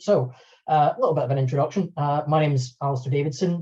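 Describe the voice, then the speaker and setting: A somewhat breathy man with a dark, mellow tone against a quiet background. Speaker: video editor and software trainer; software trainer. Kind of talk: webinar tutorial. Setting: online webinar. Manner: fast.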